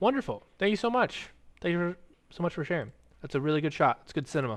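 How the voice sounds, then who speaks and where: Pitched fairly high, a man's voice swings very widely in pitch. He talks at a fairly quick pace. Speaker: wildlife sanctuary streamer. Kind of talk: livestream reading viewer submissions. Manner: halting when reading aloud; casual, chatty.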